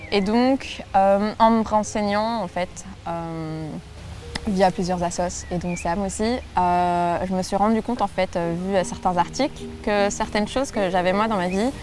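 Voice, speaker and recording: A woman's medium-pitched, fairly even voice at a fairly slow pace over noticeable background noise. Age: 20s. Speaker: law student and young family caregiver. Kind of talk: interview testimony. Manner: hesitant, many fillers.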